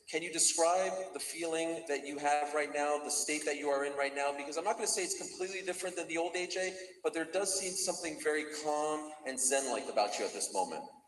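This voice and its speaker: A man with a fairly high voice talks at a very fast pace, hardly pausing at all, with audible room echo and noticeable background noise. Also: ordinary pitch variation. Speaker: press conference moderator. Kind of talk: press conference questioning. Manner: formal.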